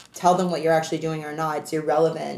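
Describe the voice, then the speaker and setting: Over noticeable background noise, a woman speaks in a Canadian accent at a fairly low pitch. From Canada. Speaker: entrepreneur and anti-trafficking advocate. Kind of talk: casual interview.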